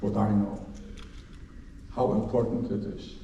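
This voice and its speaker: A man with a Polish accent speaks at a fairly slow pace. There is audible room echo and noticeable background noise. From Poland, Łódź. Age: 80s+. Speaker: Holocaust survivor. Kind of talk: lecture.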